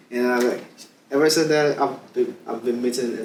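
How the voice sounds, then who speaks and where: A man speaks with ordinary pitch variation amid noticeable background noise and audible room echo. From Nigeria. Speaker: immigrant guest. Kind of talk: casual interview.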